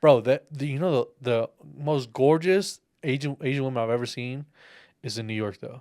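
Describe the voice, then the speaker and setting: An American-accented man speaks at a medium pitch with a dark, mellow tone and ordinary pitch variation on a very clean recording with a silent background. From Texas. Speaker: podcast host. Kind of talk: casual chat. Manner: fast.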